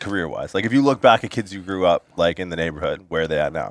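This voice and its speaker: A man at a very fast pace, fairly low in pitch with ordinary pitch variation, in a dry, close sound with no echo. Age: 20s. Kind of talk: casual chat.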